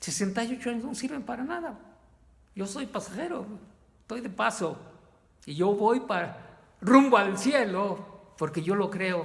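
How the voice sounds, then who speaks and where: A man speaks at a high pitch with lively intonation and a fairly slow pace. Long, frequent pauses break up his speech, and audible room echo surrounds it. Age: 60s. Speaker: lay preacher. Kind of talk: sermon. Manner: halting.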